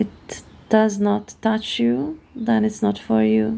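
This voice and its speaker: A woman with a Hungarian accent. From Hungary. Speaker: tarot card reader. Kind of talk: card reading monologue. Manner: halting, many fillers.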